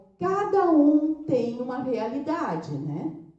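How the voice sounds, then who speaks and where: The woman talks at a very slow pace. Her voice carries audible room echo. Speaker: brain training franchise owner and speaker. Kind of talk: lecture.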